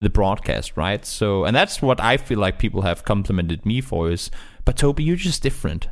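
A man with a non-native accent speaks at a medium pitch with lively intonation. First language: not English. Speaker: esports commentator. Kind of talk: interview.

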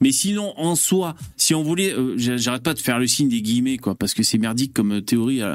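A man with a medium-pitched voice talks at a fairly quick pace with lively intonation. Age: 40s. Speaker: live stream host. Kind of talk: casual chat. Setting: live stream.

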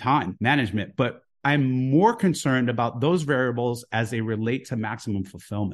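A man with an American accent talks at a moderate pace in a normal speaking voice of medium pitch, with ordinary pitch variation. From US (Houston and Jersey City). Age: 50s. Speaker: author and investor. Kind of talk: podcast interview.

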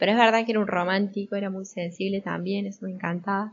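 Speaking at a very fast pace, a woman talks with an Argentine accent. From Argentina. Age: 20s. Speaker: storyteller sharing a family memory. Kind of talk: personal storytelling.

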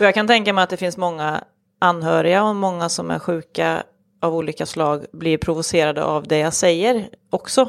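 Here is a woman with an unremarkable speaking voice, fairly low in pitch with ordinary pitch variation. She goes at a moderate pace on a very clean recording with a silent background. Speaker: suicide prevention advocate and lecturer. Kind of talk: interview, personal testimony.

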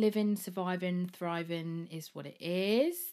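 In an English accent, a woman speaks at a fairly slow pace with a medium pitch and a dark, mellow tone. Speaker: podcast host. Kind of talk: casual solo monologue. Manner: chatty, rambling.

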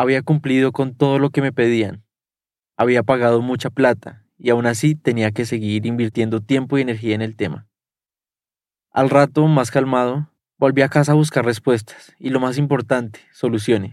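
Here is a man with an unremarkable speaking voice at a medium pitch. He keeps a moderate pace and fairly even intonation on a very clean recording with a silent background. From Colombia. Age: 20s. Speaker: journalist. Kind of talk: first-person narration.

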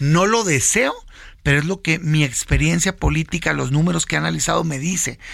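A man talks in a normal speaking voice at a fairly high pitch. His pace is moderate and his pitch variation ordinary. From Mexico, Sonora (Hermosillo). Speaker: senator and opposition party leader. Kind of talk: political interview. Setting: radio studio.

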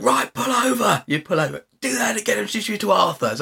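Putting on a raspy character voice, a man speaks high-pitched at a fairly quick pace. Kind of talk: military, curt commands. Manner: barking, harsh, aggressive.

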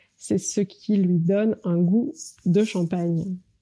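This very clean recording, with a silent background, features a woman at a medium pitch. Her tone is dark and mellow, and her intonation stays fairly even. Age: 40s. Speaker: marketing executive and business coach. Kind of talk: interview.

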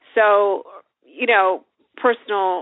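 Fairly even intonation marks this woman's speech, a plain, everyday voice pitched in the medium range. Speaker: novelist and author. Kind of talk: casual interview chat.

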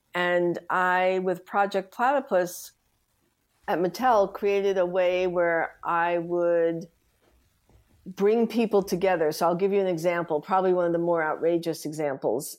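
Using an unremarkable speaking voice with an American accent, a woman with a fairly low pitch speaks at a fairly slow pace with fairly even intonation and very even loudness on a very clean recording with a silent background. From US Northeast, New York City (the Bronx). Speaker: design executive. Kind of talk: interview.

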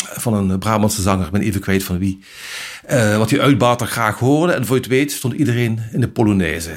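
A man talks with lively intonation and a somewhat breathy sound. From Brabant, Netherlands. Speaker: journalist. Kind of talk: interview.

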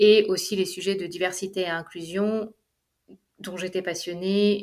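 Delivered at a fairly slow pace, the speech is monotone and flat in intonation. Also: woman. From Paris, France. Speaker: entrepreneur. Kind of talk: interview. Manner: halting.

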